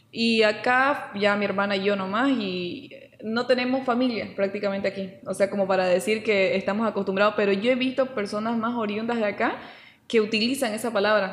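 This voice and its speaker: A woman talks at a fairly quick pace with fairly even intonation and a fairly high pitch. Noticeable background noise sits behind her. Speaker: podcast co-host. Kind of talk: casual chat. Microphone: saturated, poor audio.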